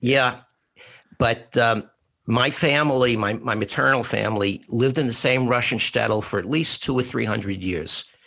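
A man with a New York accent, medium-pitched and bright, sharp in tone, at a moderate pace with ordinary pitch variation. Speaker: podcast co-host, retired school administrator. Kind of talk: casual interview conversation.

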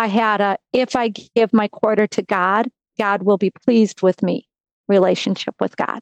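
This woman talks with an American accent at a moderate pace, medium pitch and fairly even intonation. Her loudness stays very even, and the sound is dry and close with no echo. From US Midwest, Wisconsin. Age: 50s. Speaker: sports nonprofit executive. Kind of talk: testimony.

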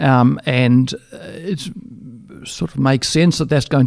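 With an Australian accent, a man speaks at a fairly high pitch in a dry, close sound with no echo. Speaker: dairy consultant. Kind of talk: interview. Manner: halting, frequent repetitions.

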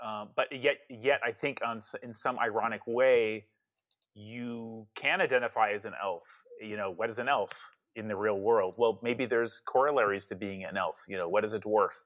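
With an American accent, a man talks at a moderate pace using fairly even intonation. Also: medium pitch for a man. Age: 50s. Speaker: author. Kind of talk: interview. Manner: halting.

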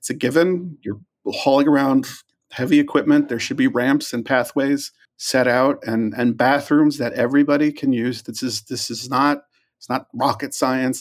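Speaking at a moderate pace, a man uses a plain, everyday voice with fairly even intonation and a fairly high pitch. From New York. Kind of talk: interview.

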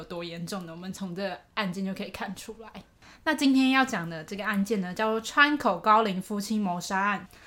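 With big swings in loudness, a woman talks at a fairly quick pace in a bright, sharp, medium-pitched voice with ordinary pitch variation. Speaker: podcast co-host. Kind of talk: case storytelling. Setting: home recording in co-host's room. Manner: raises pitch slightly when recording.

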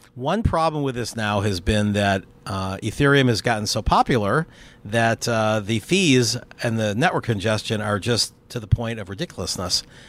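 In an ordinary speaking voice, a man talks at a medium pitch and a moderate pace with ordinary pitch variation. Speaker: crypto investor and entrepreneur. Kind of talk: casual interview. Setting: outdoors on a rooftop terrace.

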